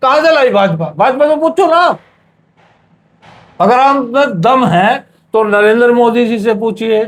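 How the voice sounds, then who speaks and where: Pitched extremely high, a man speaks with lively intonation and very even loudness, pausing long and often. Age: 60s. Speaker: interviewee on religious issue. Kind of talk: heated debate. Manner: animated.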